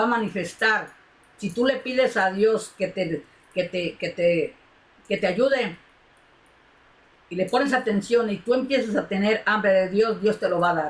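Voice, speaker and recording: A woman with a somewhat breathy voice speaks fairly slowly. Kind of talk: sermon. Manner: emotional, impassioned.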